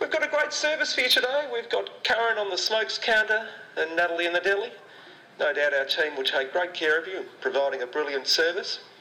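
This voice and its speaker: A high-pitched man with very wide pitch swings speaks at a fairly quick pace against noticeable background noise. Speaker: spoof store manager announcer. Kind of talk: mock airline-style PA announcement. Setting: PA system. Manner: smooth, calm, pilot-like.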